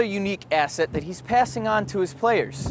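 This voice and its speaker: Lively intonation in a man's high-pitched voice. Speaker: student TV news reporter. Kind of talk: TV news report.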